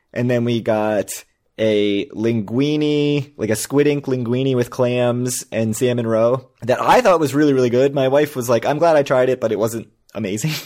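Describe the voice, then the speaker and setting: With an ordinary speaking voice of medium pitch, a man talks at a moderate pace with fairly even intonation. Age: 40s. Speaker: podcast co-host. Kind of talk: casual chat.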